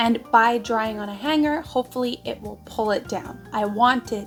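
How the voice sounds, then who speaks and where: With music in the background, a woman talks at a moderate pace in a fairly high pitch with ordinary pitch variation. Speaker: knitting vlogger. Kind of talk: casual talk to camera.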